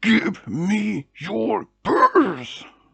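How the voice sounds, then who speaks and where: A put-on character voice shouts and growls. Its pitch stays in the middle range. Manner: angry, threatening, yelling.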